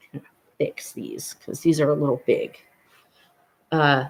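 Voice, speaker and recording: This man's somewhat breathy voice sits at a fairly high pitch. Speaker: vlogger. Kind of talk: casual vlog chat.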